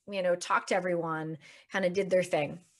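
A woman with a Canadian accent has a plain, everyday voice, medium in pitch, with fairly even intonation. The recording is very clean with a silent background. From Canada. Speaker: life coach. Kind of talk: casual talk to teen listeners.

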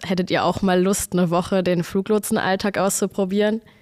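A woman with a plain, everyday voice talks at a moderate pace, at medium pitch with fairly even intonation. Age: 20s. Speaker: air traffic controller. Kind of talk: casual interview chat.

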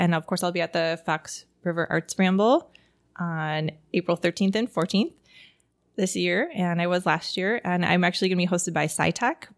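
An unremarkable speaking voice in an American accent moves at a moderate pace with fairly even intonation and very even loudness. The recording is very clean with a silent background and a dry, close sound with no echo. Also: woman. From Wisconsin, Pewaukee. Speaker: artist. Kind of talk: interview.

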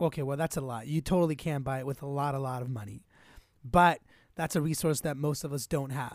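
A man talks in an energetic tone at a fairly quick pace, with a fairly high pitch. The recording is very clean, with a silent background. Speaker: podcaster. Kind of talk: casual chat. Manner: fast talker.

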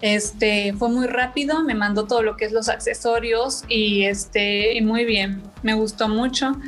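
A woman speaks at a fairly slow pace. Her voice is fairly high and somewhat breathy. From Mexico, Chilpancingo, Guerrero. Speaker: fashion entrepreneur. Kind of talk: interview.

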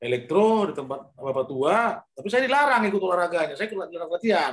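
With lively intonation and a fairly quick pace, a man talks in an unremarkable speaking voice. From North Sumatra, Indonesia (Pematang Siantar). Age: 50s. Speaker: former boxer. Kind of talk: interview.

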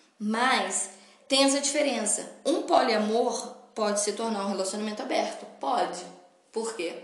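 The speech has an animated tone and lively intonation at a fairly slow pace. Audible room echo and noticeable background noise are present. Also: woman, fairly high pitch for a woman. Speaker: podcast host. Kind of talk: solo podcast monologue.

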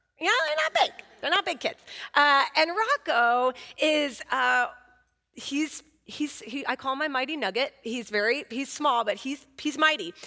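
A woman with an American accent uses a raised, projected voice, a bright, sharp tone and a high pitch, with lively intonation at a fairly slow pace. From Oakland, California. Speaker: guest preacher. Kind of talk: sermon.

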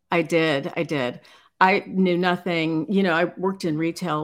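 Heard in a very clean recording with a silent background, a woman with an American accent uses an ordinary speaking voice at a fairly low pitch, with fairly even intonation and a moderate pace. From Chicago, US Midwest. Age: 50s. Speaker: fashion company founder and designer. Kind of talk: casual interview. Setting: live stream.

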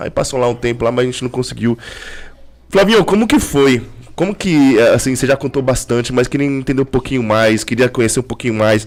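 A man with an ordinary speaking voice, medium pitch and ordinary pitch variation, at a fairly quick pace. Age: 40s. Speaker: podcast host. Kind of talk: casual chat.

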